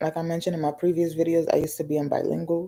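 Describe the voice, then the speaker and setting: A woman's very deep, low-pitched voice with vocal fry and a dark, mellow tone. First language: Spanish. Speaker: vlogger. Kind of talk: casual vent vlog.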